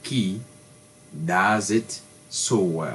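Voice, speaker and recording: A man speaks in a French accent at a fairly low pitch. His intonation is lively. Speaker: tech tutorial youtuber. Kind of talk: tutorial. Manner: halting.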